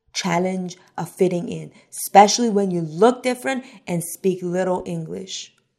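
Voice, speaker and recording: Here is an ordinary speaking voice from a woman. She talks fairly slowly with ordinary pitch variation. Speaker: podcast host. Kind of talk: interview.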